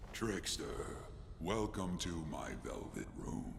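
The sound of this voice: A put-on character voice at a very slow pace amid loud background noise. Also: man.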